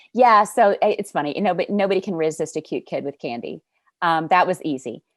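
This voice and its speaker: A woman with an American accent and lively intonation, on a very clean recording with a silent background. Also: medium pitch for a woman, fairly quick pace, dry, close sound with no echo. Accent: Southern US (Arkansas), fluctuates. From Arkansas, North Little Rock. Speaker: sales coach. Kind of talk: podcast interview.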